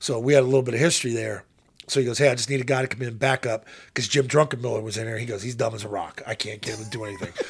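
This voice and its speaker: Talking at a very fast pace with an American accent, a man sounds somewhat breathy, keeping fairly even intonation but with big swings in loudness. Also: medium pitch for a man. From Pittsburgh, Pennsylvania. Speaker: former football quarterback and radio analyst. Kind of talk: casual chat. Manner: interjects quietly.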